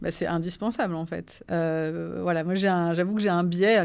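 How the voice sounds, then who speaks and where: A woman speaks at a moderate pace with a monotone, flat intonation. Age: 40s. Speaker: HR director. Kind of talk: interview.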